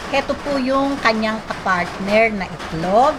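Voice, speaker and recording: Noticeable background noise sits behind a woman with a high pitch. She talks at a fairly slow pace with lively intonation. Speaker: cooking vlogger. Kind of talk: cooking tutorial. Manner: polite; loud.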